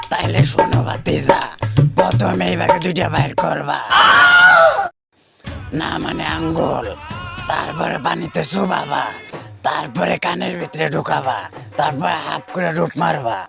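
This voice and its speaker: A man's raspy, put-on character voice at a medium pitch and fairly slow pace, with faint music in the background. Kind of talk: comic overacting. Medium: comedy sketch. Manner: boastful, playful.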